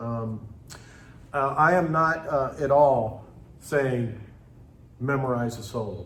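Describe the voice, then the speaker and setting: Audible room echo surrounds a man's medium-pitched voice, which shows ordinary pitch variation. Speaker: music teacher and clinician. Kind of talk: lecture.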